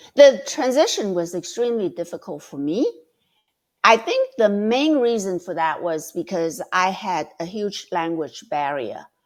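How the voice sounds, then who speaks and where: Over a very clean recording with a silent background, a woman speaks at a fairly slow pace, her medium pitch making very wide swings. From Vietnam (Saigon), Chinese community. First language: Chinese or Vietnamese. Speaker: debating mentor. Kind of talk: podcast interview. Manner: hesitant, many fillers.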